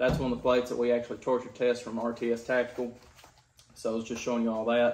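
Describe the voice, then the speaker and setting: Here a man speaks with a Kentucky accent at a fairly quick pace. Light background noise can be heard. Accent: Kentucky Southern US. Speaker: gun and gear reviewer; product reviewer. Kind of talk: product review. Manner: casual, frequent filler words. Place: home room. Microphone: camera far.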